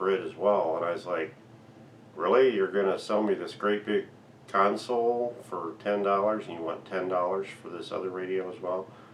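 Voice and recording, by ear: A man's low-pitched voice at a moderate pace, fairly even in intonation, with audible room echo.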